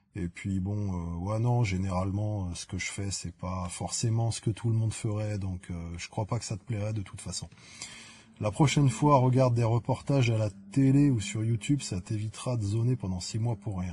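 Here a man talks at a fairly low pitch with ordinary pitch variation. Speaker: YouTuber answering viewer comments. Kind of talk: casual comment-reading vlog. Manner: slow; hesitant, many fillers.

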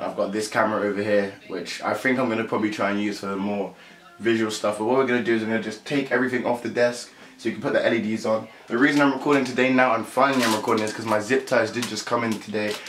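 Amid light background noise and audible room echo, a man talks at a very fast pace with fairly even intonation. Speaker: youtuber. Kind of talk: casual vlog chat. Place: home room. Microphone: camera far.

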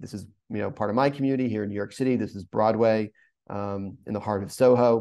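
With an American accent, a man talks at a very fast pace in a fairly low pitch and a dark, mellow tone. His intonation is fairly even, and the background is quiet. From US Northeast, rural coastal Maine. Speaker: urban planner. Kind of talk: webinar presentation. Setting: video call. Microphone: webcam.

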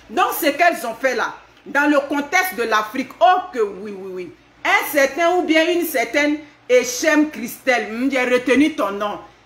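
A woman talks at a fairly slow pace with a high pitch. Audible room echo surrounds her voice. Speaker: vlogger commenting on news. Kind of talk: casual vlog commentary. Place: home room. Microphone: phone near.

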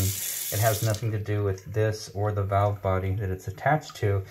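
A man's fairly low voice at a moderate pace, with noticeable background noise. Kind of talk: explanation to a customer. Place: bathroom. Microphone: phone near.

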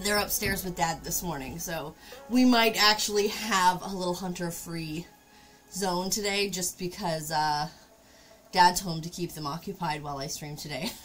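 Faint music plays in the background while a woman speaks with a fairly low pitch. Her pitch variation is ordinary, and her loudness swings widely. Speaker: craft streamer. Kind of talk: casual stream chat. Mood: relaxed, laughing. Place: home room.

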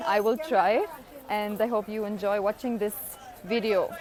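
A woman's fairly high-pitched voice with crowd noise in the background. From Germany. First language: not Kannada (speaking Kannada). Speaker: vlogger. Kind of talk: vlog. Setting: outdoors. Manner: halting.

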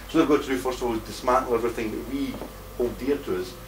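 A man rattles off his words very fast while noticeable noise fills the background. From Scotland. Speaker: conference speaker, activist. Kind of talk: conference talk. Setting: stage with audience. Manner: animated.

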